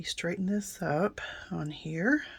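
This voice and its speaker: A woman's raspy, somewhat breathy voice sits at a fairly low pitch with ordinary pitch variation. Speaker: card-making crafter. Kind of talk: crafting tutorial. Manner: casual, chatty with fillers.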